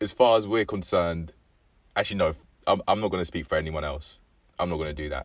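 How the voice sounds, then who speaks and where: A man with an English accent speaks very fast in a very deep, low pitch with ordinary pitch variation and long, frequent pauses. The recording is very clean, with a silent background. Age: 20s. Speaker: vlogger. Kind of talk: casual vlog monologue. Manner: halting, with frequent fillers and self-corrections.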